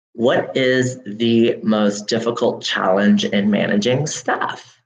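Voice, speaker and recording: An American accent comes through in this man's speech. He talks at a medium pitch. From US South, Louisiana. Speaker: marketing job candidate. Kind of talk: video job interview answers. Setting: conference room.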